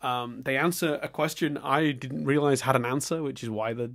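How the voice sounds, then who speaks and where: The voice belongs to a man. His recording is very clean, and the background is silent. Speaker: podcast host. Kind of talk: rambling monologue review. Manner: rambling, hesitant.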